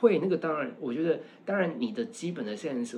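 Over noticeable background noise, a man with a fairly high pitch speaks at a fairly quick pace with very wide pitch swings. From Taiwan. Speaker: university lecturer and fashion stylist. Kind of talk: casual chat. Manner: animated.

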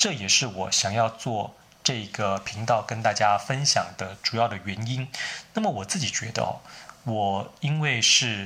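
A man with a Taiwanese accent, medium pitch, a bright, sharp tone, ordinary pitch variation and a fairly slow pace. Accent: Taiwanese Mandarin. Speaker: writer teaching English. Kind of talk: solo tutorial talk.

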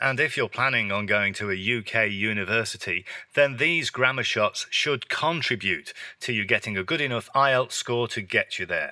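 A man with an English accent speaks in a bright, sharp tone with ordinary pitch variation. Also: medium pitch for a man, moderate pace. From England. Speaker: English teacher. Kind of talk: tutorial. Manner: natural pace; clear.

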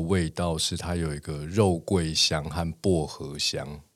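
At a very slow pace, the voice comes through on a very clean recording with a silent background. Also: man. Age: 40s. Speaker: tea podcast host. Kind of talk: casual chat.

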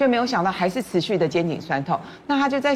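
With very wide pitch swings, a woman talks at a fairly quick pace. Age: 50s. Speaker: media personality. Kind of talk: casual chat.

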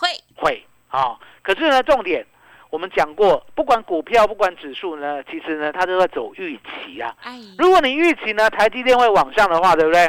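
An animated, energetic man speaks in a high pitch with very wide pitch swings and big swings in loudness. The sound is dry and close, with no echo. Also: moderate pace. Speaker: stock market analyst. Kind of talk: radio market commentary.

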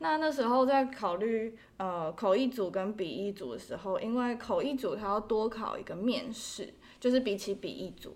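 With hardly any pauses, an unremarkable speaking voice keeps a moderate pace and ordinary pitch variation. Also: woman, fairly high pitch for a woman. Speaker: interpreting graduate student. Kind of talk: casual interview.

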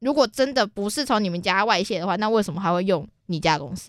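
Talking at a very fast pace, a woman with a Taiwanese accent uses lively intonation at a medium pitch, captured on a very clean recording with a silent background. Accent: Taiwanese Mandarin. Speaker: podcast co-host. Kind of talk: casual chat.

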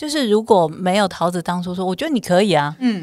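At a fairly quick pace, a woman speaks in a fairly low voice with ordinary pitch variation. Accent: Taiwanese. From southern Taiwan, Kaohsiung. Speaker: bestselling author and voice-over talent. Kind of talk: casual chat.

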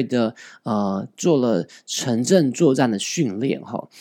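In a dark, mellow tone with lively intonation, a man speaks with a Taiwanese accent on a very clean recording with a silent background. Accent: Taiwanese Mandarin. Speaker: podcast host. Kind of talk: news commentary podcast.

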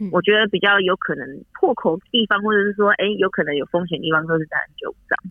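This woman talks very fast. Her voice sits at a medium pitch. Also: ordinary pitch variation. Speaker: nurse. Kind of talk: interview.

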